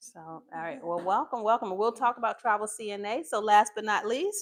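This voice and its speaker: In a very clean recording with a silent background, a woman with an ordinary speaking voice talks at a moderate pace, pitched fairly high, with ordinary pitch variation and big swings in loudness. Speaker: nursing assistant instructor. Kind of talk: live class teaching.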